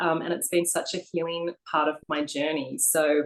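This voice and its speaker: A woman speaks with an Australian accent. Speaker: co-author, abstract painter. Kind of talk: interview. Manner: hesitant, many fillers.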